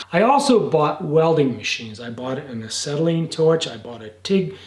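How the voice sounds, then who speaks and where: A man talks with lively intonation in a fairly high voice, and the room adds audible echo. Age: 70s. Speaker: jeep restorer and gunsmith. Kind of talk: casual vlog talk to camera. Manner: halting, repeats words.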